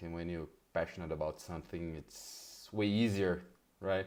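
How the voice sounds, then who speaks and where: With a Portuguese accent, a man speaks in a monotone, flat intonation at a very deep, low pitch. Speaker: interviewer, fan channel host. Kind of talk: interview.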